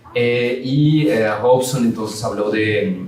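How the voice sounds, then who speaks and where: The intonation stays fairly even. Noticeable background noise and audible room echo surround the voice. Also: man. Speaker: philosophy professor. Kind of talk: academic lecture. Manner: halting.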